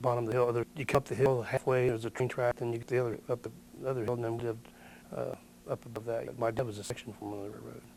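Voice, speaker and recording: The delivery is very fast, in a Midwestern American accent. Intonation stays monotone and flat. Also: man, medium pitch for a man. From Ohio, West Chester area. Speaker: local elder, oral history interviewee. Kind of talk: oral history interview. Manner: halting.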